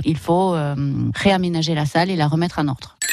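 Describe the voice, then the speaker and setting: The woman speaks with ordinary pitch variation. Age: 40s. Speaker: escape game manager. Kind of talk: radio interview testimony.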